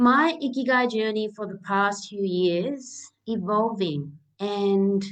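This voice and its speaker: A woman speaks at a medium pitch in a Japanese accent. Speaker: naturopath and live chat host. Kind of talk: live interview chat. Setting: live stream.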